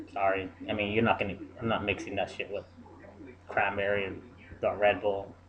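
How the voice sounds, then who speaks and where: Over noticeable background noise, a man talks at a fairly quick pace in a monotone, flat intonation, broken by long, frequent pauses. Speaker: vlogger. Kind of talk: casual vlog monologue. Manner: halting, many filler ums.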